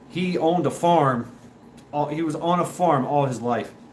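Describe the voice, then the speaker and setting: Animated in tone, a man speaks at a moderate pace with ordinary pitch variation and audible room echo. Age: 40s. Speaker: livestream host. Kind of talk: casual chat. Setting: live stream.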